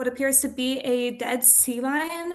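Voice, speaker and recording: There is a quiet background as a woman speaks at a high pitch. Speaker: public commenter. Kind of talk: public comment. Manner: halting, repeats words.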